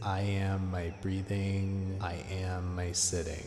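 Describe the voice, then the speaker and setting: A very deep, low male voice in a calm, soothing tone over music in the background. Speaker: meditation guide. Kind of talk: guided meditation. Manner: slow, calm, soothing, repeating mantras in a gentle cadence.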